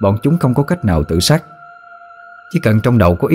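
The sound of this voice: Text delivered in an unforced reading voice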